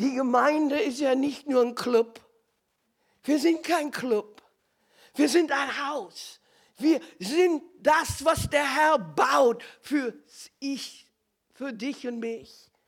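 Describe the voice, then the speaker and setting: A woman talks at a very slow pace in a high pitch, leaving long, frequent pauses. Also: ordinary pitch variation. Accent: slight non-native. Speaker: preacher. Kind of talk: sermon.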